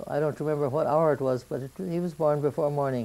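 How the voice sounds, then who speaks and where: A woman's very deep, low voice in an American accent, dark and mellow in tone, at a fairly quick pace with ordinary pitch variation. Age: 80s+. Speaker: grandmother telling family history. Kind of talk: oral history interview.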